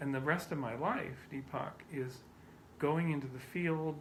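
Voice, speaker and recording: Somewhat breathy and fairly high-pitched, a man speaks at a moderate pace in a monotone, flat intonation, with audible room echo around him. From Canada. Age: 50s. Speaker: scientist. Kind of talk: interview.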